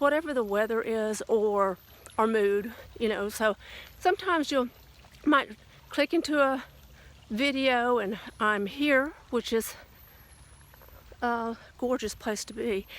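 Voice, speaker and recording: A woman with a slight Southern US accent, fairly high in pitch and lively in intonation, at a fairly slow pace with long, frequent pauses. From US South. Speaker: lifestyle vlogger. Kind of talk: casual vlog monologue. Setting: outdoors, walking in light rain. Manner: hesitant, with many fillers.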